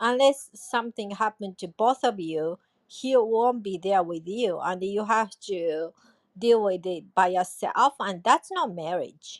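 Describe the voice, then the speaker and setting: With a dry, close sound and no echo, a woman talks in an unremarkable speaking voice at medium pitch, fairly slowly and with ordinary pitch variation. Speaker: podcast host. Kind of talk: casual chat.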